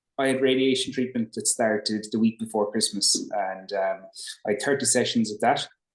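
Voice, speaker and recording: A man's medium-pitched voice with a Limerick accent and fairly even intonation. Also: moderate pace. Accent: Irish (Limerick). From Ireland, Limerick. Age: 30s. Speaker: brain tumour patient. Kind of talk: interview.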